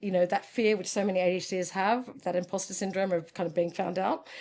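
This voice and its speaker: A woman with an Australian accent talks at a medium pitch and a fairly quick pace. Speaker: ADHD coach and former lawyer. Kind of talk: interview. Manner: animated.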